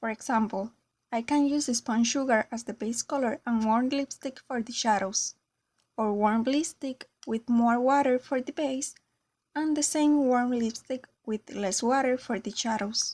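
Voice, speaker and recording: A woman with a Spanish accent speaks fairly slowly at a high pitch with fairly even intonation, in a dry, close sound with no echo and a very clean recording over a silent background. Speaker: craft tutorial creator. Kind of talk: tutorial.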